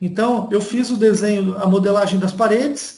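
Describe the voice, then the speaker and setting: A man's moderately paced speech carries audible echo from the room. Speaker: university lecturer. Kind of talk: online lecture. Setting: video call from home.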